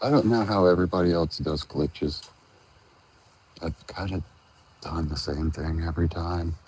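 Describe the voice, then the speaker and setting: A soft-spoken man with very deep, low pitch, ordinary pitch variation and long, frequent pauses. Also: moderate pace. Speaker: tie dye crafter. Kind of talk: tutorial. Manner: halting. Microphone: wearing headphones, talks quietly.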